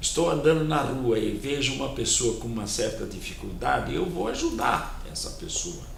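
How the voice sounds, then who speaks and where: A man talks at a moderate pace with hardly any pauses, with noticeable background noise and audible room echo. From Brazil, São Paulo. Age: 80s+. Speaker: community volunteer and businessman. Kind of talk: TV interview. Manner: halting, repeats words.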